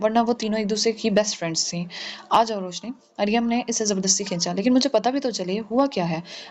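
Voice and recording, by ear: Someone is reading aloud in a natural voice, and the pitch moves in an ordinary way.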